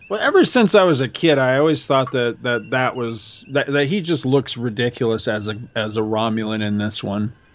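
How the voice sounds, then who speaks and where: With an animated tone, a man talks at a moderate pace and medium pitch, with ordinary pitch variation and hardly any pauses. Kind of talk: casual banter. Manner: animated, joking.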